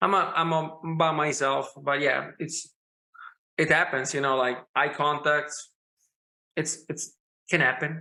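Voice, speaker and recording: A man's fairly high, bright, sharp voice in a strong Italian accent, monotone and flat, at a fairly slow pace with long, frequent pauses. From Italy. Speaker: rock musician. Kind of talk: casual chat. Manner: halting.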